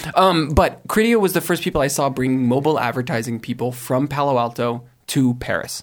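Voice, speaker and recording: A man with an American accent, a normal speaking voice, medium pitch and ordinary pitch variation, on a very clean recording with a silent background. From US, California (Silicon Valley). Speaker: tech startup blogger and brand director. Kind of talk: casual panel discussion.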